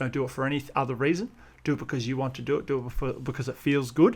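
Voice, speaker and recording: In a very clean recording with a silent background, a man with an Australian accent speaks at medium pitch with fairly even intonation. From Australia (Perth), moved from Russia at seven. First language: Russian. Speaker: wedding photographer and content creator. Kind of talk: podcast interview.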